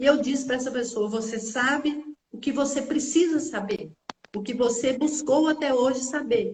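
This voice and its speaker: At a fairly slow pace, a woman speaks in a high pitch with lively intonation, with audible room echo around her. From Brazil, interior of Minas Gerais. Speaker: teacher and therapist. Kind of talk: casual chat.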